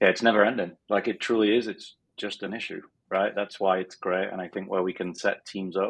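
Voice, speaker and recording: A man with a northern English accent speaks at a fairly quick pace in a fairly low voice, his intonation monotone and flat. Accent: northern English accent, still kept. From northern England, Sheffield. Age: 40s. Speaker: business coach. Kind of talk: interview. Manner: hesitant, many fillers.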